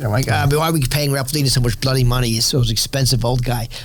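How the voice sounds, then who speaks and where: A man's medium-pitched voice in a New York accent, with ordinary pitch variation, audible room echo and noticeable background noise. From New York City. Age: 60s. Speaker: winery owner and Wall Street professional. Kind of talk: interview conversation.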